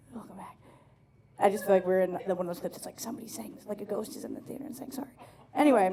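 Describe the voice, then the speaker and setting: Over noticeable background noise and audible room echo, a woman speaks at a very fast pace in an animated tone, with big swings in loudness and ordinary pitch variation. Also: medium pitch for a woman. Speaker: stand-up comedian. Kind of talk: stand-up. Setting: stage with audience.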